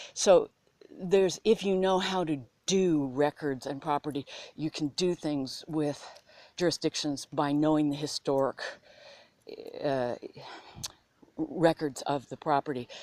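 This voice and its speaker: A woman with a very deep, low pitch and a dark, mellow tone speaks at a fairly slow pace, using long, frequent pauses and ordinary pitch variation, in a dry, close sound with no echo. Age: 60s. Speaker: history vlogger. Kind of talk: casual video monologue. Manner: halting, repetitive.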